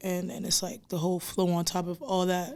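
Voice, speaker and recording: At a moderate pace, a woman with an American accent speaks in a monotone, flat way. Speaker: rapper. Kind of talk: casual chat.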